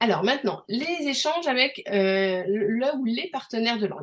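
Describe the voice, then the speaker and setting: Moderate pace from a woman with a fairly high pitch. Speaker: language learning coach. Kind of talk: online group coaching session. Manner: hesitant, many fillers.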